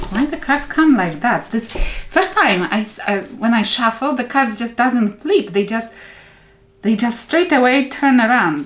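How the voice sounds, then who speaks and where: Over noticeable background noise, a woman with a non-native accent talks at a fairly slow pace, her fairly high voice making very wide pitch swings. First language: not English. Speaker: tarot reader. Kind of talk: tarot reading. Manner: halting.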